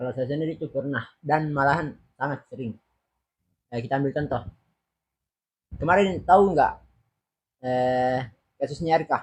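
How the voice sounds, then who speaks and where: Pausing long and often, a man with a fairly high pitch and a somewhat breathy voice talks with ordinary pitch variation. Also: moderate pace. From Selayar, South Sulawesi, Indonesia. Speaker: university student. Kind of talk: casual interview.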